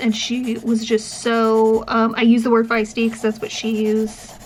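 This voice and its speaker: Over noticeable background noise, a woman speaks at a fairly slow pace with a fairly high pitch and monotone, flat intonation. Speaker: professor and vlogger with chronic illness. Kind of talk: casual vlog chat. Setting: in a car. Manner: projects well.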